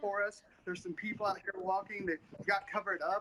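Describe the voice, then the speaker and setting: Speaking at a fairly quick pace, a man uses a raised, projected voice with a high pitch. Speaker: student TV reporter and weather anchor. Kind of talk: live field weather report. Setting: outdoors.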